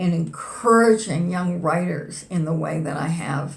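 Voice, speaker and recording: A somewhat breathy woman with a fairly low pitch, at a very slow pace, with audible room echo. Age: 70s. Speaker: poet. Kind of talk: interview conversation.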